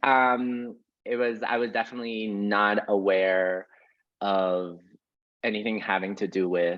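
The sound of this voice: A man's low-pitched voice with little pitch movement.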